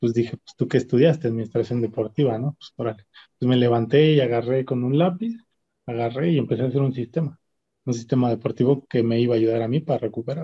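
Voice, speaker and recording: A man talks at a very fast pace in a medium pitch, somewhat breathy, with fairly even intonation and big swings in loudness. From Mexico City (Xochimilco). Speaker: rower. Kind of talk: interview conversation.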